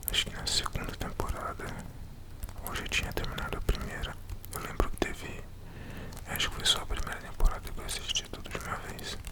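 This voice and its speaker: Someone whispers at a fairly quick pace, broken by long, frequent pauses. Noticeable background noise runs underneath. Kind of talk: ASMR casual talk to camera. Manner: whispered.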